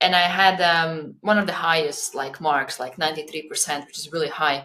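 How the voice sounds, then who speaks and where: A woman speaks with a Latvian accent. Her tone is bright and sharp, her pace moderate. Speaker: coach and podcaster. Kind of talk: podcast interview.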